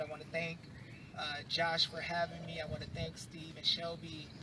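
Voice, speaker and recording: There is noticeable background noise behind this voice. A man with a high pitch speaks at a fairly quick pace. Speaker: civil rights activist speaker. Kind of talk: rally speech. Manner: animated.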